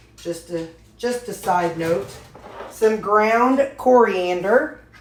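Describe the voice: Audible room echo surrounds a woman speaking at a slow pace. Her pitch is medium with ordinary variation.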